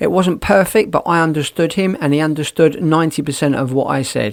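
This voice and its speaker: Speaking at a fairly quick pace, a man with a fairly high voice talks in a British accent. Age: 60s. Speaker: podcaster. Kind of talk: casual monologue.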